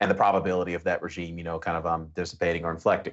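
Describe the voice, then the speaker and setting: This man talks at a very fast pace with fairly even intonation. His pitch is very deep and low. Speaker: finance analyst. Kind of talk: panel discussion on markets.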